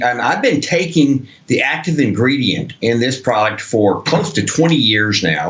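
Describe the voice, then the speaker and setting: A man at a fairly slow pace, lively intonation, noticeable background noise throughout. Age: 70s. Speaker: product spokesman. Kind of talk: sales pitch.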